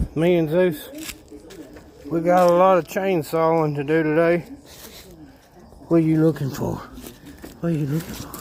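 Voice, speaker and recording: With a Southern US accent, the speaker keeps a moderate pace and fairly even intonation, leaving long, frequent pauses amid noticeable background noise. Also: man, fairly high pitch for a man. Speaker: vlogger doing yard work. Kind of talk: casual vlog talk.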